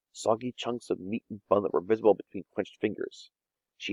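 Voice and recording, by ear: Reading aloud in a natural voice, with a quiet background.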